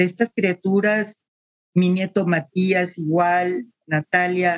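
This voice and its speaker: At a very slow pace, a woman speaks in a medium pitch with a dry, close sound and no echo. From Mexico City. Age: 70s. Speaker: retired teacher and social worker. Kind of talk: interview, personal life story.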